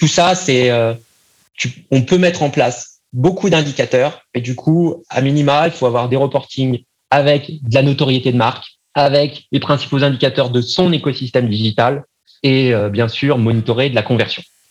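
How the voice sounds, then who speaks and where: This man has an unremarkable speaking voice with a medium pitch and ordinary pitch variation. He keeps a moderate pace and very even loudness. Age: 30s. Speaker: marketing agency founder. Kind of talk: podcast interview.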